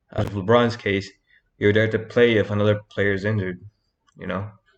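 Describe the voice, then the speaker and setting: This man's voice sits fairly low and moves at a moderate pace. His intonation is monotone and flat against a quiet background. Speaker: youtuber. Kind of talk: motivational talk to camera. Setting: talking to camera. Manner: halting, stuttering.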